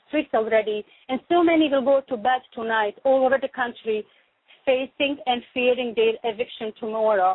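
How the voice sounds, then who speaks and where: Speaking at a fairly quick pace, a woman with a non-native accent uses a high pitch and fairly even intonation. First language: not English. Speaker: radio show host. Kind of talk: talk radio chat.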